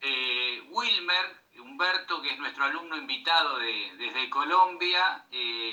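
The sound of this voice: A man's slow, lively-intoned speech with a bright, sharp tone and audible room echo. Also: medium pitch for a man.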